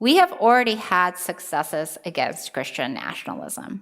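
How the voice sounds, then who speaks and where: A woman's fairly high voice with vocal fry, very wide pitch swings and a moderate pace. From Japan. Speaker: civil liberties advocate. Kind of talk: conference talk.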